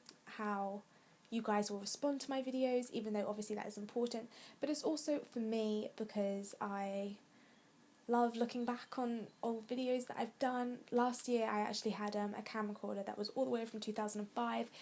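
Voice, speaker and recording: With an English accent, a woman speaks at a fairly high pitch and a moderate pace. Her intonation stays fairly even. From England. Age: 20s. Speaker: vlogger. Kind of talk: casual chat.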